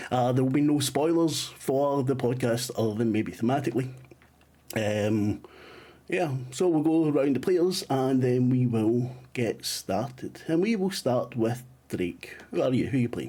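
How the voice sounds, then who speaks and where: His tone dark and mellow, a man speaks at a medium pitch and a fairly slow pace, with ordinary pitch variation and very even loudness. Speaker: game master of a tabletop role-playing game. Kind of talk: actual play game session.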